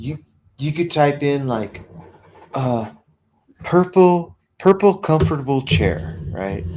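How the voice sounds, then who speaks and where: A man speaks at a very slow pace, somewhat breathy. His medium-pitched voice swings very widely in pitch. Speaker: livestream host. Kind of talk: casual chat. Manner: slurred speech.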